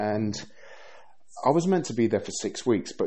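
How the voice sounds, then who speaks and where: A man talks in a London accent. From England (Bristol, London). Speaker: podcaster. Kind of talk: solo podcast monologue.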